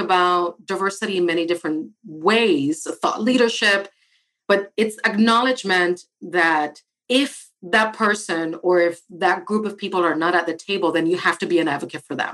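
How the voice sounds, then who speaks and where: With a Spanish accent and a bright, sharp tone, a woman speaks at a medium pitch and a moderate pace with ordinary pitch variation. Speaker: architect and diversity director. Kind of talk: interview.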